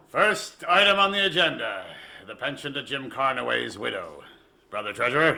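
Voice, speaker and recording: A man puts on a character voice with a menacing tone. He speaks at a fairly high pitch and a moderate pace. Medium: audio drama. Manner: commanding, menacing.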